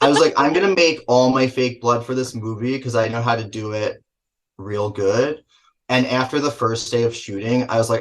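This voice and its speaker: A man's somewhat breathy, medium-pitched voice with a New Jersey accent, at a moderate pace. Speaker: film director and actor. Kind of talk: casual interview.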